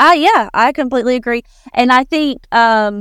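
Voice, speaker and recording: A woman with an Appalachian accent on a very clean recording, silent in the background, dry and close with no echo. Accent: Southern US Appalachian. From US South, northeastern Alabama (Appalachia). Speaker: writer. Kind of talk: casual chat. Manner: halting.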